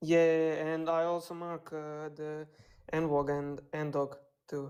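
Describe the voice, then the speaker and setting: A woman with a non-native accent, very deep, low pitch and a dark, mellow tone, in monotone, flat intonation at a very slow pace. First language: not English. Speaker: caller, beginner trader. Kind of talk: asking questions on a live stream. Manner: halting.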